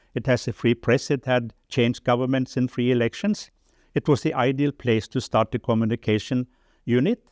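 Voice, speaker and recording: In a Norwegian accent, a man of medium pitch talks at a moderate pace with ordinary pitch variation and very even loudness. The recording is very clean with a silent background, and the sound is dry and close with no echo. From Norway. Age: 70s. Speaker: development charity chairman, former journalist. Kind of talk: interview testimony. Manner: halting.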